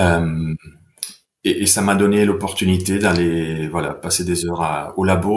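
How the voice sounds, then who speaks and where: Audible room echo surrounds a man speaking at a fairly slow pace. His pitch is very deep and low, with fairly even intonation. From Italy, Bergamo. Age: 40s. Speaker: sports science researcher. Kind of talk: podcast interview. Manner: hesitant, with fillers.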